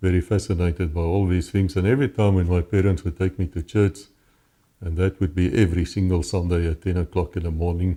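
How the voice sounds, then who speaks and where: A man with a South African accent speaks at a fairly quick pace, his very deep, low voice dark, mellow and somewhat breathy. His intonation is fairly even on a very clean recording with a silent background. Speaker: former police officer. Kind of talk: interview testimony. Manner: halting.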